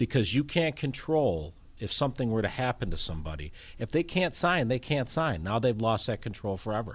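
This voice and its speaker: A man's medium-pitched voice with vocal fry and very wide pitch swings, fairly quick, on a very clean recording with a silent background. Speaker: elder law attorney. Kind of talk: radio interview.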